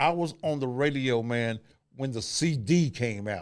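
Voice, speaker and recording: Recorded very cleanly over a silent background, a man speaks at a medium pitch with ordinary pitch variation. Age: 60s. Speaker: radio host. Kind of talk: casual chat.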